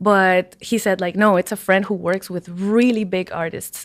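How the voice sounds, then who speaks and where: A woman with a Spanish accent on a very clean recording with a silent background. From Peru, Lima. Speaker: musician. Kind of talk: casual chat.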